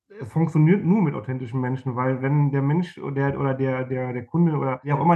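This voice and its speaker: A man's medium-pitched voice at a very fast pace. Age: 40s. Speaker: marketing manager. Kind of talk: interview.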